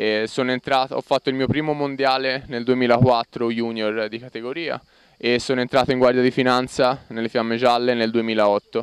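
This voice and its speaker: A man's dry, close-sounding voice with no echo, medium in pitch, flat and monotone, at a moderate pace. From Florence, Tuscany, Italy. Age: 20s. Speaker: Olympic rower. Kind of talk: field interview.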